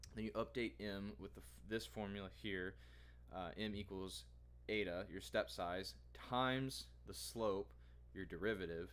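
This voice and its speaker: Very deep and low, a man's voice shows vocal fry and very wide pitch swings, broken by long, frequent pauses. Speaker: data science bootcamp student and vlogger. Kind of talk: tutorial. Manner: halting.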